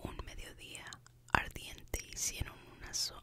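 A woman whispers her words at a very slow pace. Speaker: ASMR creator. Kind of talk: whispered ASMR book reading. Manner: whispered, soft-spoken. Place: home room. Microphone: studio mic.

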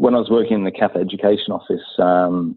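A man's very deep, low voice in a British accent, with fairly even intonation and a fairly quick pace. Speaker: science education consultant. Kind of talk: casual interview. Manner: halting.

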